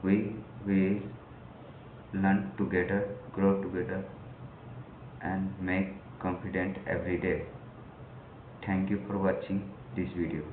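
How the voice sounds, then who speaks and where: A man with a very deep, low pitch speaks at a fairly slow pace with fairly even intonation and long, frequent pauses, amid noticeable background noise and audible room echo. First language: not English. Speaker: English learner vlogger. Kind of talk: personal vlog. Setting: recording to camera. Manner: halting.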